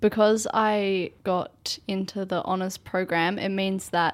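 Speaking with an Australian accent, a woman uses a medium pitch and ordinary pitch variation. Her pace is fairly slow. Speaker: university student. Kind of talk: casual chat. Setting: studio.

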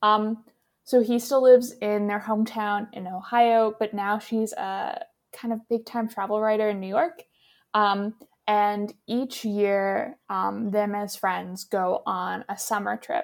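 A woman with an unremarkable speaking voice and ordinary pitch variation, in a very clean recording with a silent background. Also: fairly high pitch for a woman, fairly slow pace. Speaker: podcast host. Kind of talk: casual chat. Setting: outdoors-adjacent home recording, birds audible.

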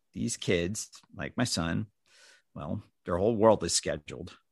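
A man with an American accent speaks at a moderate pace with vocal fry and ordinary pitch variation, recorded dry and close with no echo against a quiet background. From US Northeast, New Jersey. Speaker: father of a child with IA/ARM. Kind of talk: reading own story and interview chat. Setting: video call.

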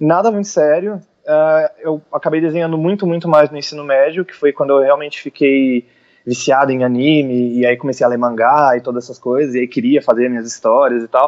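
Here a man with an unremarkable speaking voice talks at a fairly quick pace, with a fairly high pitch and ordinary pitch variation. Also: hardly any pauses. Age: 20s. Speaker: illustrator. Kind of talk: interview.

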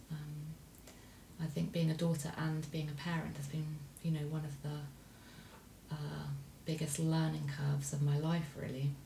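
A woman's very deep, low voice, monotone and flat, at a fairly slow pace, with audible room echo and noticeable background noise. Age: 40s. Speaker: parent of host. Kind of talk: casual chat.

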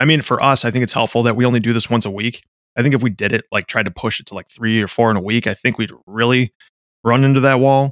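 A man rattles off words at a very fast pace with fairly even intonation, on a very clean recording with a silent background. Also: medium pitch for a man, dry, close sound with no echo. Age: 30s. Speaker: podcast co-host and firefighter. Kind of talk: casual podcast chat.

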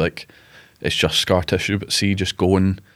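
A speaker with a Glasgow accent talks at a very fast pace. The intonation is monotone and flat. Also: man. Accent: Scottish (Glasgow). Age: 20s. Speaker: rugby player, cancer survivor. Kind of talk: interview, personal story. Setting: studio.

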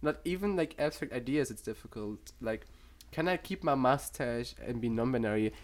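Pitch swings very widely over a fairly quick pace, with vocal fry and a German accent. The recording is very clean, with a silent background. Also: man. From Germany. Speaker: psychology student. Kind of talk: casual chat.

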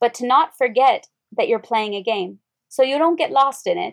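In a dry, close recording with no echo, a woman with an American accent speaks at a high pitch and a fairly quick pace, her intonation lively. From Wyoming, rural US. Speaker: yoga teacher, former military linguist. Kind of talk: casual interview chat.

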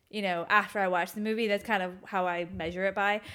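In a very clean recording with a silent background, a woman talks at a moderate pace. Her pitch is medium and her intonation fairly even. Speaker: podcast co-host. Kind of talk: casual chat. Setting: home kitchen table, evening. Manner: loud.

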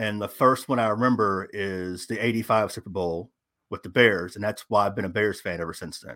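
A man's fairly low voice, an unremarkable speaking voice, with big swings in loudness, on a very clean recording with a silent background. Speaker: fantasy football editor and content creator. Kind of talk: casual interview chat.

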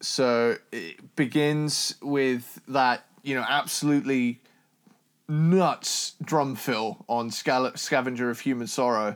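Very slowly, a man of medium pitch speaks with ordinary pitch variation in a very clean recording with a silent background. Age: 20s. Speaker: metal podcast co-host. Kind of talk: casual chat.

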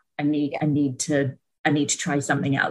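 A woman's somewhat breathy, very deep, low voice at a moderate pace. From Britain. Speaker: mother sharing birth story. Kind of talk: casual interview testimony.

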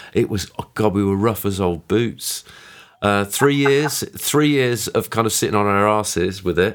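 Pitch variation in this clip is ordinary, at a moderate pace. It is a plain, everyday voice. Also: man, fairly low pitch for a man. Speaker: podcast host. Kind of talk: casual chat.

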